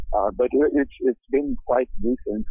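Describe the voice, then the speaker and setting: A man speaks with a Portuguese accent at a fairly slow pace. His pitch variation is ordinary. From Brazil. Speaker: metal band vocalist. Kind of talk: casual interview. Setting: phone call.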